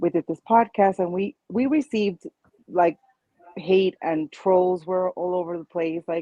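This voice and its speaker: Her pitch fairly low and varying in an ordinary way, a woman speaks at a moderate pace. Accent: Spanish. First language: Spanish. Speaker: childfree community founder, panelist. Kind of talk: panel discussion.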